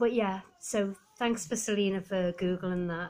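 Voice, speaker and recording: A woman talks with fairly even intonation. Her voice is somewhat breathy. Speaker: vlogger. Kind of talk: casual vlog chat. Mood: relaxed, a little weary. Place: home room. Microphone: phone near.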